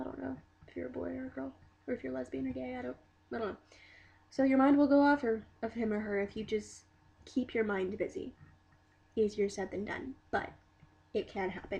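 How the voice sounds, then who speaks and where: This woman speaks at a fairly quick pace in a dark, mellow, somewhat breathy tone. Her pitch swings very widely, and she takes long, frequent pauses. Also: medium pitch for a woman. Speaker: vlogger. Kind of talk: video diary. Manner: halting.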